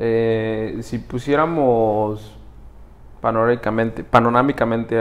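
A man speaks at a fairly slow pace in a flat monotone, his pitch sitting at a medium level. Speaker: podcast co-host. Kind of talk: casual interview chat. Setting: studio.

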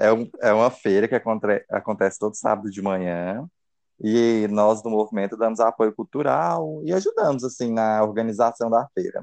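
A normal speaking voice with ordinary pitch variation keeps a moderate pace over a quiet background. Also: man, medium pitch for a man. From Brazil, interior of Goiás. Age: 20s. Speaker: architect and political activist. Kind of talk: casual chat.

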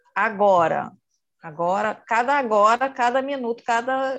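A woman talks fairly slowly, her intonation lively and her voice pitched high. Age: 50s. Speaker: meditation class participant. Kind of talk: audience question.

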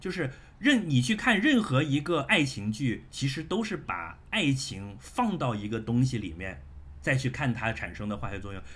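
A man speaks at a moderate pace with a medium pitch and vocal fry. His pitch swings very widely. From Shenzhen, China. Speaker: podcast guest. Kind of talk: casual chat. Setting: video call.

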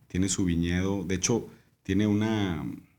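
Speaking at a fairly slow pace, a man has a fairly low pitch and a dark, mellow tone. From Mexico, Monterrey. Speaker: winemaker. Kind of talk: casual chat.

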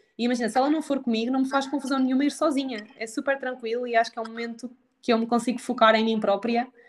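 A woman's high-pitched, very fast speech in a central Portugal accent, with monotone, flat intonation. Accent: European Portuguese, central Portugal. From Portugal, Aveiro district. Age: 20s. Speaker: nutritionist. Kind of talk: casual chat. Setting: remote recording without headphones.

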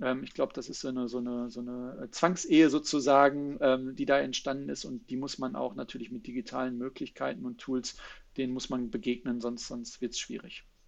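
In a plain, everyday voice, a man talks at a fairly quick pace with medium pitch and ordinary pitch variation. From Germany, Ruhr area. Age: 30s. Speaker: sales consultant. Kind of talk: interview.

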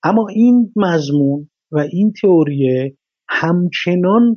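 A man speaks very slowly in a high voice with lively intonation. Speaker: screenwriter. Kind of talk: interview.

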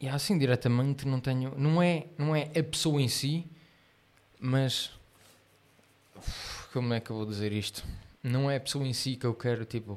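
Medium-pitched man at a moderate pace, ordinary pitch variation and long, frequent pauses. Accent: European Portuguese. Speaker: podcast co-host. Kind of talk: casual chat. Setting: live stream.

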